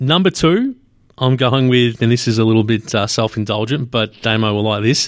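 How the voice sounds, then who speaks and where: A man with an Australian accent speaks at a moderate pace, his medium pitch moving with ordinary variation. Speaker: sports podcast host. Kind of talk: casual chat. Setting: studio, hosts in same room.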